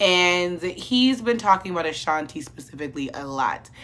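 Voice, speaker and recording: With very wide pitch swings and a bright, sharp tone, the voice moves at a fairly slow pace. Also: woman. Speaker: commentary vlogger. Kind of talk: casual commentary vlog. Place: home room.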